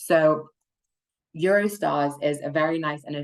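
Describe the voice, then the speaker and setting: A woman speaks with a British accent. The background is quiet. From United Kingdom. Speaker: client strategist at a funding consultancy. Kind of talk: webinar presentation.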